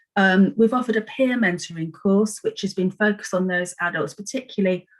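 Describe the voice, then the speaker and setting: At a fairly quick pace, a woman talks in a somewhat breathy voice of medium pitch with ordinary pitch variation. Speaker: adult education service presenter. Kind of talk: presentation to council panel. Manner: fast.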